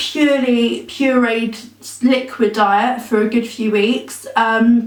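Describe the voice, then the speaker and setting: Against noticeable background noise and audible room echo, a woman with an English accent speaks in a high pitch with fairly even intonation. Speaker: vlogger. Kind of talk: personal vlog. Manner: casual, many filler ums.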